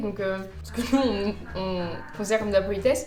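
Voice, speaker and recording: A woman mumbles at a fairly high pitch with ordinary pitch variation. Music plays in the background. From France. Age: 20s. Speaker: corporate lawyer. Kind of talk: casual talk to camera. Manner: mumbled, casual slang.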